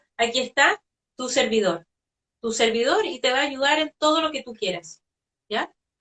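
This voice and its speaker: The pace is fairly slow. Intonation is lively. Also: woman. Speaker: spiritual medium. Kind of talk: interview conversation.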